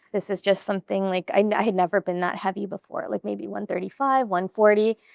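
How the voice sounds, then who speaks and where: A plain, everyday voice from a woman at medium pitch, fairly quick in pace with fairly even intonation, in a dry, close sound with no echo. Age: 40s. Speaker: gym member sharing weight-loss story. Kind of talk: podcast interview.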